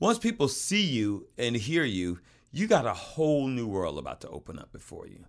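A man speaks at medium pitch and a moderate pace in an animated tone. His pitch swings very widely, and his loudness shifts a great deal. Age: old. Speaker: podcast co-host. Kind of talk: casual chat.

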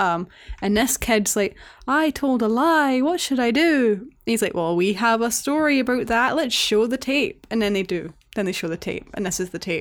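A woman speaks in a Scottish accent at a fairly high pitch. The recording is very clean, with a silent background. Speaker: podcast co-host. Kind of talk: casual chat. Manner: animated, sweary.

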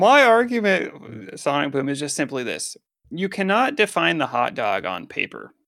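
A man's fairly high voice with a bright, sharp tone, vocal fry and very wide pitch swings, at a moderate pace, on a very clean recording with a silent background. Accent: American. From Colorado. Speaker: gaming podcast co-host. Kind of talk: casual chat. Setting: headset.

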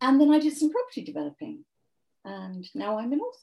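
A woman speaks with lively intonation in a somewhat breathy voice with a dark, mellow tone. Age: 70s. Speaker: author. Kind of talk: interview.

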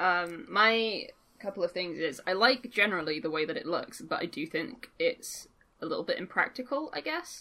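With an English accent, a woman speaks at a moderate pace and medium pitch in a bright, sharp tone, making very wide pitch swings over a quiet background. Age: 20s. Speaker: gaming podcast co-host. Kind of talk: casual chat.

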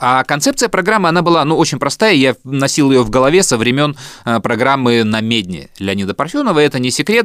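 With very wide pitch swings, a man speaks at a fairly quick pace and a fairly high pitch. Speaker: podcast host and radio producer. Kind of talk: casual chat, storytelling.

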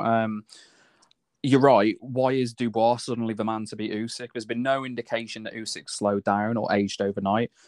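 Over a quiet background, a man with a British accent talks at medium pitch and a fairly quick pace in a flat monotone, the sound dry and close with no echo. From UK. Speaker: boxing podcast co-host. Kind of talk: casual chat.

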